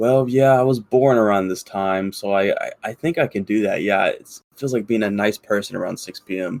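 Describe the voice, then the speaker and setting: A man with a medium pitch and ordinary pitch variation speaks with hardly any pauses, in a dry, close sound with no echo. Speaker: podcast co-host. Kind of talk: casual chat. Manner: fast; many filler words.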